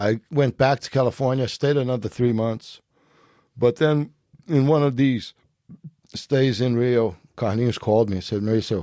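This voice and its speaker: A man with a dark, mellow tone speaks with ordinary pitch variation and long, frequent pauses. The sound is dry and close, with no echo. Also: medium pitch for a man, moderate pace. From Brazil, Rio de Janeiro. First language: Portuguese. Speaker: jiu-jitsu master. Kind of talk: podcast interview.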